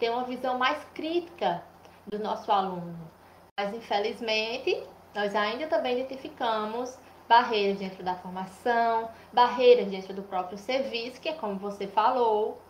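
The speech moves at a fairly slow pace with ordinary pitch variation and audible room echo. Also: woman, fairly high pitch for a woman. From Brazil, Paraíba (Cajazeiras). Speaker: nurse and public health researcher. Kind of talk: interview, explanatory.

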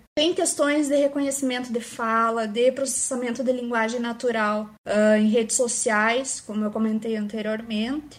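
A woman in an ordinary speaking voice talks at a moderate pace with hardly any pauses, her pitch fairly high and her intonation fairly even. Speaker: AI researcher, PhD student. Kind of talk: casual chat.

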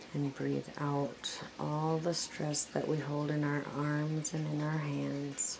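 A woman's gentle, calm tone at a very deep, low pitch, with monotone, flat intonation and a very slow pace. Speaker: meditation guide. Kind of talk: guided meditation. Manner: slow, calm, soothing; gentle, repetitive, paced with pauses.

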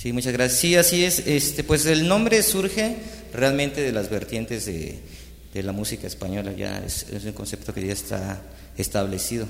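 Over noticeable background noise and audible room echo, a man at medium pitch talks at a moderate pace with very wide pitch swings. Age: young. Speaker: musician. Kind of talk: casual chat.

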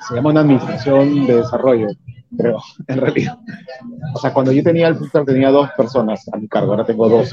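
Noticeable background noise runs under the recording. A man talks at a very fast pace with fairly even intonation. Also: medium pitch for a man. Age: 30s. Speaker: restaurant owner and entrepreneur. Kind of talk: interview. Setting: in his restaurant.

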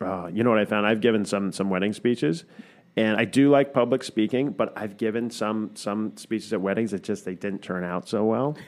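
Fairly low in pitch with ordinary variation, a man talks fairly quickly in an unremarkable speaking voice. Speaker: podcast co-host. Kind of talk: casual chat.

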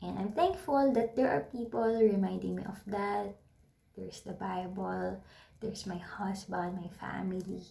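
With a Filipino accent, a woman speaks at a moderate pace with big swings in loudness, and audible room echo surrounds her. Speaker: podcaster. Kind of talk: casual monologue. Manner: halting.

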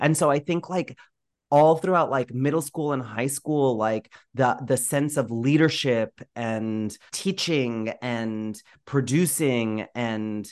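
Against a quiet background, a man with an American accent speaks very slowly at a medium pitch, his pitch varying in an ordinary way. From Florida. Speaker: theatre director. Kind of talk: casual interview chat. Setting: home microphone, remote recording.

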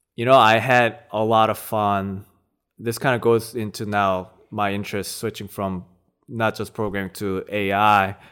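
A man's fairly low, flat, monotone voice with a Korean accent at a fairly slow pace, on a very clean recording with a silent background. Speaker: judo practitioner and natural language processing researcher. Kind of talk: casual interview chat. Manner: laid-back, hesitant, laughs often.

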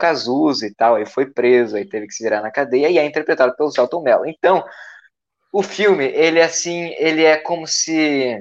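This man has a normal speaking voice with ordinary pitch variation. His pace is moderate. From Brazil, Santa Catarina coast. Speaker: podcast co-host. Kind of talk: casual comedic chat.

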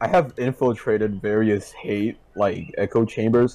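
A man at a medium pitch, speaking at a fairly slow pace. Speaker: podcast guest. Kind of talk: casual chat. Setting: online voice call. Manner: sarcastic tone.

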